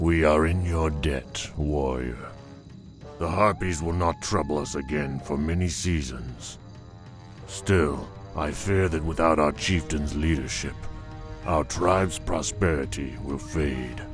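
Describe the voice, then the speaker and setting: Over clear music in the background, a man does a cartoonish character voice at a fairly slow pace. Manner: earnest, solemn.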